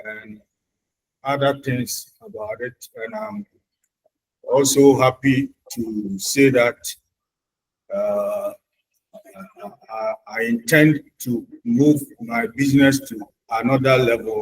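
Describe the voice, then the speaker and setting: A man speaks at a very slow pace, with long, frequent pauses and big swings in loudness. His medium-pitched voice is somewhat breathy, with ordinary pitch variation. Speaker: small business owner, tire shop. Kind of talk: formal self-introduction. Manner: formal.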